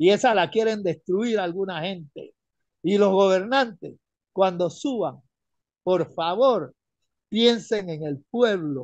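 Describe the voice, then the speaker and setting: With a dry, echo-free sound and a quiet background, a man speaks at a high pitch with ordinary pitch variation, at a very slow pace, leaving long, frequent pauses. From Panama. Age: 70s. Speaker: retired caller; caller. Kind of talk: radio call-in opinion. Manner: animated. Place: home room. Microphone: phone near.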